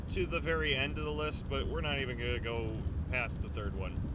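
A man talks over loud background noise. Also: dry sound with no echo. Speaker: vlogger driving. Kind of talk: casual vlog chat. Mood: playful, joking. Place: car. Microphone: phone near.

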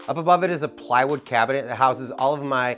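Clear music can be heard in the background. Over it, a man speaks very fast. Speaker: woodworking channel host. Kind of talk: casual shop tour commentary. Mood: upbeat, joking.

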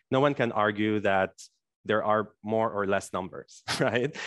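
A man talks at a moderate pace. The sound is dry with no echo, and the background is quiet. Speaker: yoga teacher. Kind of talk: workshop lecture. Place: home room. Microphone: headset.

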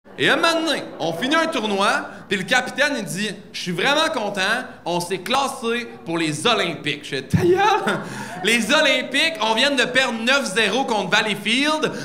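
A man's extremely high pitch, raised and projected, with very wide pitch swings at a fairly slow pace over light background noise. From Quebec. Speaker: stand-up comedian. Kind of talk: stand-up comedy routine. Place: stage. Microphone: handheld.

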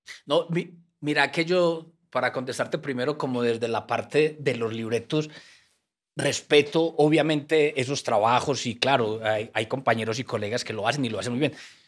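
Medium-pitched male voice in a Colombian paisa accent, with ordinary pitch variation, a moderate pace and a quiet background. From Colombia, Antioquia (paisa). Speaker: writer and former troubadour; guest. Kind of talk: casual interview. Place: studio. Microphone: studio mic.

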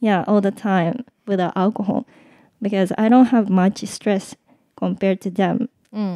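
Very slowly and with fairly even intonation, a woman speaks at a medium pitch in a dark, mellow tone, captured dry and close with no echo on a very clean recording with a silent background. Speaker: podcast co-host. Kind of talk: casual chat.

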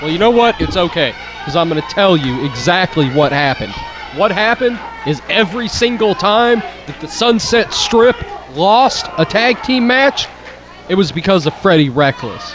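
Over crowd noise, a man speaks at a moderate pace in a high pitch with very wide swings. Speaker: wrestler on commentary. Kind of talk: live commentary. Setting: live event arena. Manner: brash and boastful.

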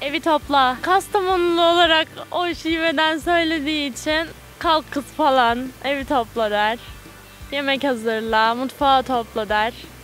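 Faint music plays in the background. A woman with a high pitch speaks at a fairly slow pace. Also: ordinary pitch variation, dry sound with no echo. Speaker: interviewee. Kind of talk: interview answer. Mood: cheerful, smiling. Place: garden. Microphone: handheld.

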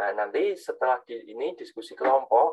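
Fairly quick speech from a man, quiet background behind him. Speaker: university lecturer. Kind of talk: lecture. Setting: video call. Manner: halting. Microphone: video call.

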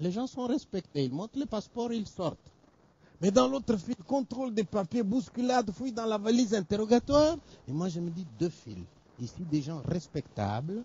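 The sound is dry, without echo. The man's pace is moderate. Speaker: storyteller performer. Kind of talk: theatrical monologue storytelling. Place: stage.

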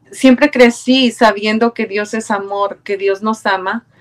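A woman with a Mexican accent and monotone, flat intonation. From Mexico, Puebla. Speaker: churchgoer, choir member. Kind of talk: testimony. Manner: halting. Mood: warm, grateful, reflective. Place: home room. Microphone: webcam.

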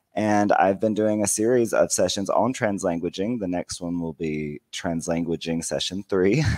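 A man speaks with an American accent at a fairly slow pace. The background is quiet. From United States. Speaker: bilingual educator and teacher trainer. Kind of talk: conference presentation. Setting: video call. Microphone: headset.

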